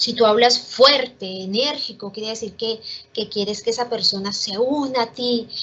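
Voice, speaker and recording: Fairly slow speech from a woman, pitched fairly high, with ordinary pitch variation. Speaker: teacher. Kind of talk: online class.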